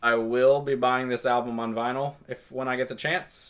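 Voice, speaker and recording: In a Southern US accent, a man speaks at a fairly slow pace. His pitch sits in the medium range. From Kentucky, small town. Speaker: music reviewer. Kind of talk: album review monologue. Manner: halting, many fillers.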